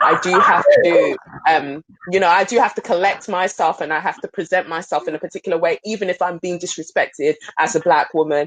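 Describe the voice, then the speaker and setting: With a South London accent, a woman speaks at a fairly quick pace and fairly low pitch, with ordinary pitch variation, in a dry, close sound with no echo and noticeable background noise. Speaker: pole dance studio owner. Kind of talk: panel discussion.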